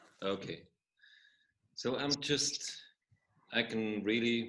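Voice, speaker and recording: Male speech with a non-native accent and ordinary pitch variation. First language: not English. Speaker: workshop participant. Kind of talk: casual sharing. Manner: halting.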